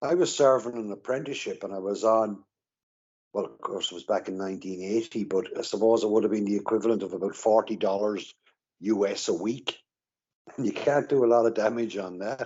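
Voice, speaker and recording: A man with a medium pitch speaks in an Irish accent. His pace is fairly quick, with ordinary pitch variation. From Ireland. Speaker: recovering alcoholic. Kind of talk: interview. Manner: halting.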